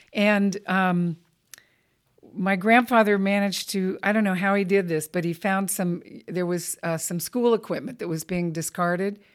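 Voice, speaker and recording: A woman speaks with a Southern California accent at a medium pitch and a moderate pace. Her intonation stays fairly even, and the recording is very clean with a silent background. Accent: General American (Southern California). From Los Angeles County, California. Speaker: Olympic rower and athlete-rights advocate. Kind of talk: interview conversation.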